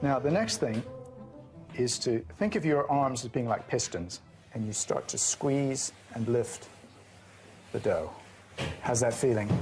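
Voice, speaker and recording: A man's medium-pitched voice at a fairly slow pace, lively intonation broken by long, frequent pauses, music playing in the background. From Canada, Toronto. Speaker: baker, trained architect. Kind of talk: casual interview and demonstration.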